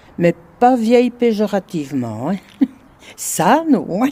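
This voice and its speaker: A woman's voice carries a dark, mellow tone with very wide pitch swings. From Belgium, Brussels. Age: 80s+. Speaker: retired resident. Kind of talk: interview testimony.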